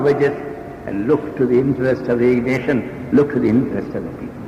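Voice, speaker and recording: A man with a Bengali accent talks at a fairly quick pace over noticeable background noise. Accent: Indian English, Bengali. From Calcutta, India. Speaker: trade union leader. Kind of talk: speech to union conference.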